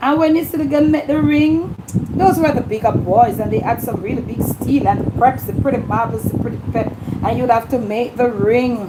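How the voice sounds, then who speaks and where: Amid noticeable background noise, a woman speaks at a high pitch with lively intonation. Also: moderate pace. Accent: Jamaican. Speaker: YouTube livestream host. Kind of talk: casual livestream chat.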